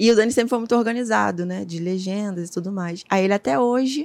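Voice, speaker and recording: This woman has a plain, everyday voice at a medium pitch with ordinary pitch variation. The recording is very clean, with a silent background. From Rio de Janeiro, Complexo do Alemão favela. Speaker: photographer and image archivist. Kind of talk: casual interview.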